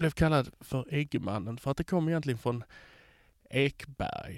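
The speech moves at a fairly slow pace with ordinary pitch variation, in a dry, close sound with no echo and a very clean recording with a silent background. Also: man. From Skåne, southern Sweden. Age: 40s. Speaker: podcast editor hosting an episode. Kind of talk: casual personal monologue.

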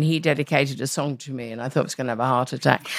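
A woman with a London accent speaks in a very deep, low pitch. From London, East End. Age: 70s. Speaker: radio presenter and actor. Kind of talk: interview. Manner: energetic.

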